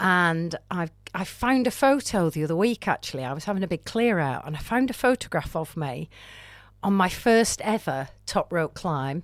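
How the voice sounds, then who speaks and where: Speaking with a Lancashire accent, a woman has a fairly low pitch and very wide pitch swings at a moderate pace. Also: very clean recording, silent background. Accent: northern English (Lancashire). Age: 60s. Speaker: amateur climber. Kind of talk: interview podcast. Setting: podcast studio. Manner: animated.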